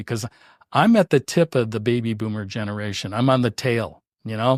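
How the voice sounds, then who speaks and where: Pitch varies in an ordinary way as the voice moves at a moderate pace. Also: man. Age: 60s. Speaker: podcast host. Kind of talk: interview. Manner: halting.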